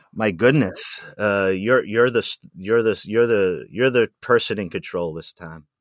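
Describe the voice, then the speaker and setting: A man with a medium-pitched voice talks at a fairly slow pace. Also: ordinary pitch variation. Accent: American. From Rhode Island, US. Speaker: artist. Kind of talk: casual interview chat. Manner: halting, many fillers and repetitions.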